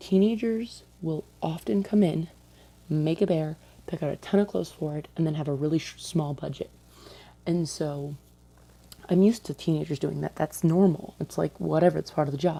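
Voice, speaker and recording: A soft-spoken woman talks at a moderate pace with a very deep, low pitch. Her pitch varies in an ordinary way. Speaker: vlogger, retail store employee. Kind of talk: casual vlog storytelling. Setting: at home late at night. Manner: quiet, talking softly.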